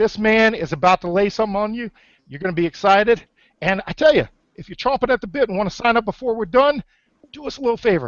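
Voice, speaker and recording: A man shouting at a very fast pace, high in pitch with ordinary variation, animated and energetic, his loudness swinging widely. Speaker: webinar host, online marketer. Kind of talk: sales pitch webinar. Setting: online webinar. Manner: loud, yelling; animated, energetic.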